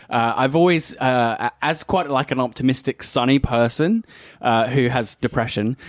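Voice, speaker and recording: A man's medium-pitched voice, with ordinary pitch variation, comes through with a dry, close sound with no echo. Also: moderate pace, very even loudness. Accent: Australian. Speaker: tabletop RPG player. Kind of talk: casual chat.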